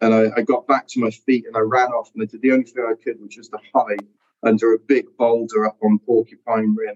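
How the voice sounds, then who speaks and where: Speaking fairly quickly, a man with a South Wales accent keeps a monotone, flat intonation. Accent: Welsh (South Wales). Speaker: ultra-endurance athlete. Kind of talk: casual interview.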